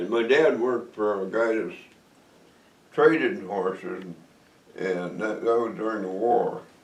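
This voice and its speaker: With a Western New York accent, a man at medium pitch talks fairly slowly with lively intonation and long, frequent pauses over noticeable background noise. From Cameron, New York, USA. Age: 80s. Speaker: retired aircraft worker, Navy veteran, hunter. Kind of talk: interview answer. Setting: at home.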